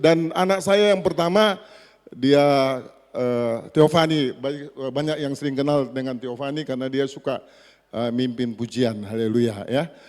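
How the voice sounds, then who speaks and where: Speaking at a fairly slow pace, a man with a medium pitch has a plain, everyday voice. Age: 60s. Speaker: pastor. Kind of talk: sermon. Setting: church.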